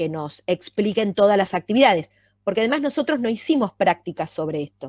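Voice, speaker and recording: A woman with an ordinary speaking voice talks at a medium pitch and fairly quick pace, with lively intonation. The background is quiet, and the sound is dry and close with no echo. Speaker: university lecturer. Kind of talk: lecture.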